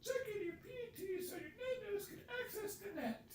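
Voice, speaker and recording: An extremely high, squeaky put-on character voice speaks at a moderate pace. There is clear background noise and a slight echo. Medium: game stream. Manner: clear, instructive.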